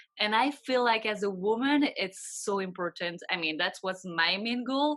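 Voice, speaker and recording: A woman with a French accent speaks at a moderate pace in a fairly high pitch. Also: lively intonation. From Belgium. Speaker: financial advisor. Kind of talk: interview. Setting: video call.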